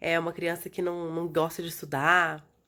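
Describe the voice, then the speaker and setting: Soft-spoken, a woman talks in a fairly low pitch on a very clean recording with a silent background. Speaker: educational video host. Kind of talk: vlog talk to viewers. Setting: recorded from bed at home. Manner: soft, low.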